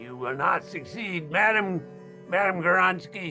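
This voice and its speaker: A man's put-on character voice, high in pitch, with clear music in the background. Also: moderate pace. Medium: stage play. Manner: grandiose, melodramatic.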